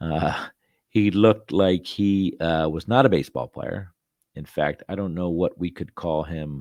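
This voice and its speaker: With a very deep, low pitch, a man speaks using ordinary pitch variation. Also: quiet background. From Philadelphia. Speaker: podcast host. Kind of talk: casual monologue. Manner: hesitant, many fillers.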